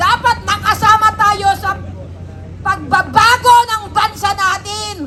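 Over noticeable background noise, a woman with an extremely high pitch is shouting in a raised, projected voice at a very slow pace. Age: 70s. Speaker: senior citizen protest speaker. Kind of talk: protest speech. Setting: outdoors. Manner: loud, shouting.

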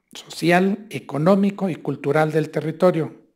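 A man with a fairly high voice and a dark, mellow tone speaks at a fairly slow pace. His pitch varies in an ordinary way over a quiet background. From Mexico, Hidalgo (Mineral de la Reforma); Hidalgo, Mexico. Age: 50s. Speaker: state tourism official; speaker. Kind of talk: lecture. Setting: university seminar. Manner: conversational with frequent fillers. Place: hall. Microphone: podium.

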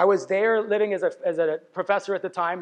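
The pace is very fast. It is a man talking. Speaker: conference speaker. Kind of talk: lecture. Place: stage.

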